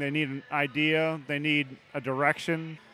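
A man's fairly high-pitched voice is heard over background music. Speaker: architect. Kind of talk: casual interview. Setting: live event at a brewery.

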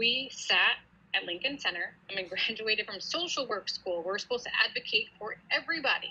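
Noticeable background noise sits behind a woman with an American accent. Her pitch is fairly high and her intonation lively. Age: 30s. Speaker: police officer. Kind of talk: interview.

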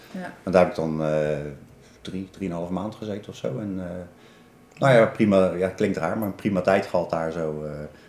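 The pace is moderate, but long, frequent pauses keep interrupting the talking. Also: man, very deep, low pitch for a man, ordinary pitch variation. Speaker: person with spinal cord injury sharing experience. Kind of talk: casual interview. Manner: halting, many repetitions.

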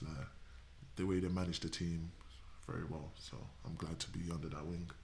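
With a southern English accent, a man talks at a moderate pace in a very deep, low voice, and the room echo is audible. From southern England. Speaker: footballer. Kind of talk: casual chat.

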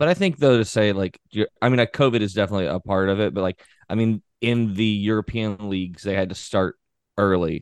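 A man with a plain, everyday voice speaks at a fairly quick pace and a fairly low pitch, with ordinary pitch variation, over a quiet background, in a dry, close sound with no echo. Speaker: soccer podcast host. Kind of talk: casual sports podcast chat.

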